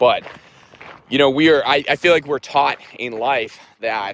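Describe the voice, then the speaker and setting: A man speaks at a moderate pace with ordinary pitch variation. It is a normal speaking voice. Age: 30s. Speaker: army veteran, runner. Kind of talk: personal vlog, casual talk to camera. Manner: reflective, candid.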